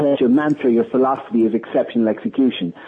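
A man talks with an Irish accent. His pace is fairly quick. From Ireland. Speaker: sales trainer and author. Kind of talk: interview. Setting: phone call.

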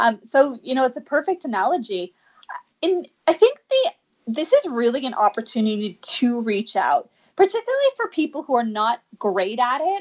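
Her voice high and swinging very widely in pitch, a woman speaks at a moderate pace. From Canada, Vancouver. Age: 40s. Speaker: dancer and life coach. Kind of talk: interview.

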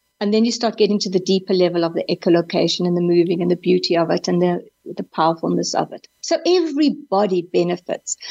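Racing at a very fast pace with hardly any pauses, a woman speaks in a dark, mellow tone with vocal fry. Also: medium pitch for a woman, ordinary pitch variation, dry, close sound with no echo. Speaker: psychologist. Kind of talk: interview. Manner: animated.

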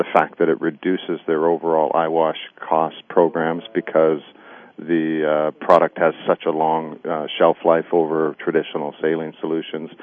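A man with a very deep, low pitch speaks in a monotone, flat intonation. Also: moderate pace. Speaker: military veteran working in safety technology. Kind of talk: radio interview. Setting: phone call. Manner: halting, many fillers.

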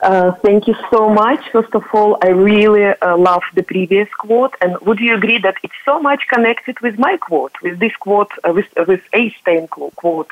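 A woman at medium pitch and a fairly slow pace, with noticeable background noise. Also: ordinary pitch variation. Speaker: company founder panelist. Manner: hesitant, many fillers.

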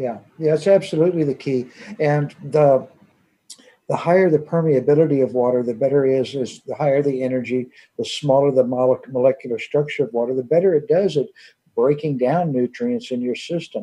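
At a fairly quick pace, a man talks in a normal speaking voice, fairly high in pitch, with ordinary pitch variation. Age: 50s. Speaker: water device company owner. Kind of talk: radio interview.

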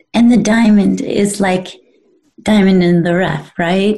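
The speech moves at a very slow pace with fairly even intonation, and an audible room echo surrounds it. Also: woman, long, frequent pauses. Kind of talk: casual chat. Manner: halting.

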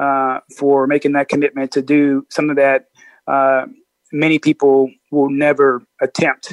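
Speaking in a Midwestern American accent at a fairly slow pace, the voice is monotone and flat, with a dry, close sound and no echo. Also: man. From US Midwest, Peoria, Illinois. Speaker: Marine Corps officer. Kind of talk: interview.

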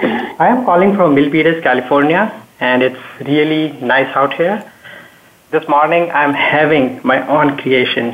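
Noticeable background noise accompanies talking that moves at a fairly slow pace. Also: man. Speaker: technology expert. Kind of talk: panel discussion.

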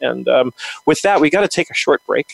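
The speech moves at a very fast pace. The sound is dry and close, with no echo. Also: man. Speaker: podcast host. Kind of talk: interview.

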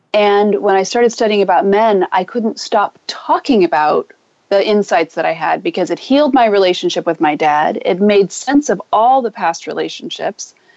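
A woman at a moderate pace and medium pitch makes very wide pitch swings in a dry, close sound with no echo. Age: 50s. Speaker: relationship coach. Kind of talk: interview. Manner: animated.

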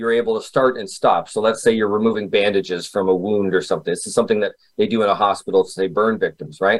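This man has a normal speaking voice, pitched in the medium range, with fairly even intonation. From Canada. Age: 40s. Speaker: memory expert and author. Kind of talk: interview.

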